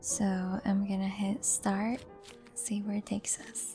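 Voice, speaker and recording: Soft-spoken and relaxed in tone, the voice moves at a very slow pace. Music plays in the background. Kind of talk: soft-spoken gameplay commentary for sleep. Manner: soft-spoken, relaxed.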